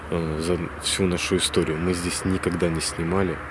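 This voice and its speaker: A man talks at a moderate pace in a dry sound with no echo, though noticeable background noise comes through. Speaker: paranormal channel host. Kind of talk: casual vlog chat. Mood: hushed, slightly tense. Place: open country. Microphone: phone near.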